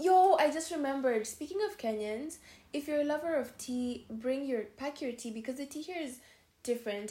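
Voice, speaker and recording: A woman with a high pitch and a dark, mellow tone. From Kenya. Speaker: podcast co-host. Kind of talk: casual chat.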